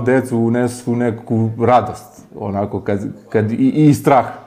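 This man has an ordinary speaking voice. He talks at a medium pitch. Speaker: local villager. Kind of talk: interview.

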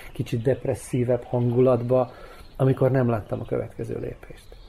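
The delivery is moderate in pace. It comes in a normal speaking voice. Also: man. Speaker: actor and former theatre director. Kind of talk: radio interview.

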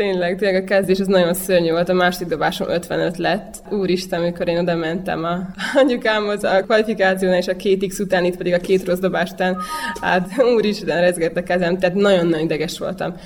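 Against noticeable background noise, a woman speaks very fast at a medium pitch in a flat monotone. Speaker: javelin thrower. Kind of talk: interview.

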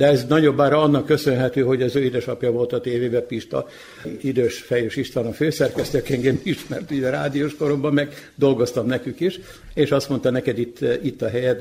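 A man speaks at a fairly quick pace in a medium-pitched, somewhat breathy voice. His tone is dark and mellow, with fairly even intonation. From Vojvodina, Serbia (Kula). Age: old. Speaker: retired television executive. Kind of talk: radio interview. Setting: community hall.

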